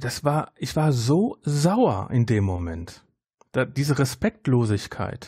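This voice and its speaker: A man at a medium pitch, very slow in pace, with very wide pitch swings, a somewhat breathy, dark, mellow tone, on a very clean recording with a silent background. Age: 40s. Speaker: podcaster. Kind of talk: casual chat.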